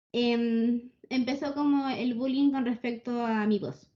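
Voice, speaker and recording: A woman speaks fairly slowly in a high pitch, with a dark, mellow tone and fairly even intonation. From Chile. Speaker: podcast co-host. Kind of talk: casual chat. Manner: monotone; quiet.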